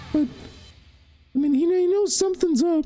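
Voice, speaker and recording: A put-on character voice comes through at a moderate pace. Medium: actual play. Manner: rambling, hesitant, filler-heavy.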